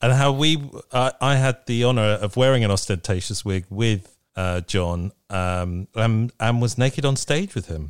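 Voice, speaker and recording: Delivered at a fairly slow pace with lively intonation, an unremarkable speaking voice comes through dry and close with no echo on a very clean recording over a silent background. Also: man, medium pitch for a man. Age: 50s. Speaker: podcast host. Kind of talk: casual chat.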